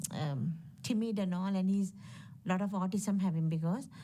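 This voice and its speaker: The woman's voice is somewhat breathy, with a dark, mellow tone. Her pitch is medium. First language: not English. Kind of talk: testimony. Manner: halting.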